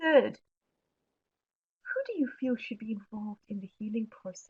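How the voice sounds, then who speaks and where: With a South African accent, a woman speaks at a moderate pace, her loudness swinging widely. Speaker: webinar presenter on mental health. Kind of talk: webinar presentation answering questions. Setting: online webinar.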